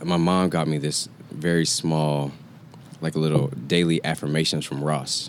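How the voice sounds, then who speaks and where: A man speaks in a very deep, low voice at a moderate pace. His intonation is monotone and flat, with noticeable background noise. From Atlanta, Georgia (US South). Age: 20s. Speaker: community event organizer. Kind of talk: casual chat.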